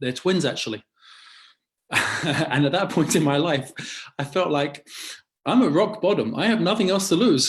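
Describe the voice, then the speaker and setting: A man speaks with an English accent and lively intonation. The background is quiet. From London, England. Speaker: rabbi. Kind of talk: interview conversation. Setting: video call.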